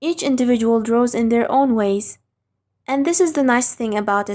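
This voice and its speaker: A woman with a non-native accent and a dark, mellow tone at a high pitch. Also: very clean recording, silent background. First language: not English. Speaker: online drawing instructor. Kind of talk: tutorial. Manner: scripted, careful.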